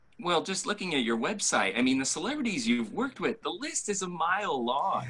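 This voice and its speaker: Noticeable background noise sits behind a man with a high pitch. He talks at a fairly quick pace, with very wide pitch swings. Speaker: interview host. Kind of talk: podcast-style interview questions.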